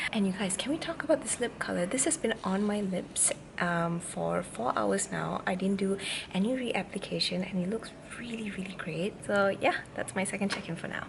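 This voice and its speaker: Noticeable background noise sits behind a woman of medium pitch who talks at a moderate pace with ordinary pitch variation. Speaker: beauty vlogger. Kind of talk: casual vlog review. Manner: chatty; speaking quietly.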